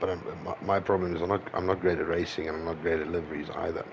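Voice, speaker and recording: A man speaks in a very deep, low voice with flat, monotone intonation over noticeable background noise. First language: not English. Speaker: sim racing streamer. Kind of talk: casual livestream chat while gaming. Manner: halting.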